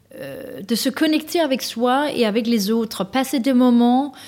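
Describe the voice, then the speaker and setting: A woman with a Danish accent speaks fairly slowly in a high pitch with a dark, mellow tone. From Denmark. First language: Danish (speaking French). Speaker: author and executive coach. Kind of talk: interview. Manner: hesitant, many fillers.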